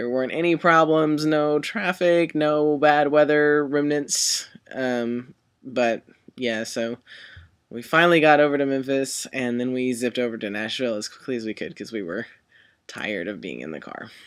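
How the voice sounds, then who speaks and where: A man talks in a plain, everyday voice at medium pitch and a moderate pace. His pitch varies in an ordinary way, while his loudness swings widely. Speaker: vlogger. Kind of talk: casual vlog. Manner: casual, many fillers.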